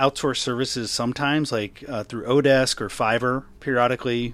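This man speaks at a medium pitch. His pitch varies in an ordinary way. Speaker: podcast host and writer. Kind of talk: casual interview chat. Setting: remote interview from Seattle. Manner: fast talker, mumbler.

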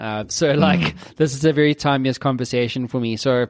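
The recording is dry and close with no echo, carrying a man's medium-pitched voice with ordinary pitch variation. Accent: South African. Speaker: podcast host. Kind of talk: casual, informal.

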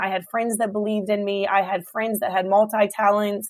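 A woman with an American accent, fairly high pitch and fairly even intonation. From Hampton Roads, Virginia. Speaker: restaurant owner, speaker. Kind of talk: casual interview chat. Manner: fast talker.

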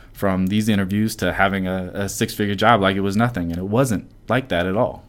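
A man speaks at a very fast pace with a very deep, low pitch. His intonation is monotone and flat, on a very clean recording with a silent background. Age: 30s. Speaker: podcast host, software engineer and former personal trainer. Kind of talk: casual chat.

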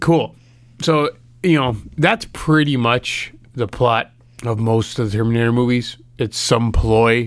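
Recorded very cleanly against a silent background, a man uses a plain, everyday voice at medium pitch with ordinary pitch variation. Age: 30s. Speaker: movie podcast co-host. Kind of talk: casual chat.

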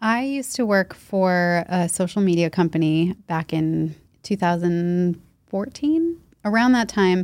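Using a plain, everyday voice, a woman with an American accent speaks at medium pitch with ordinary pitch variation on a very clean recording with a silent background. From US Northeast, central Massachusetts. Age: 30s. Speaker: nutritionist and podcaster. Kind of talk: casual interview.

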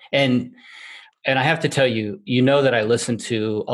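A man talks at a moderate pace with fairly even intonation in an unremarkable speaking voice. The recording is very clean, with a silent background. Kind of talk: casual chat. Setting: studio.

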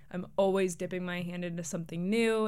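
A woman talks with a fairly low pitch. Room echo is audible in the recording. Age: 20s. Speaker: podcast host and grad student. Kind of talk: casual solo monologue.

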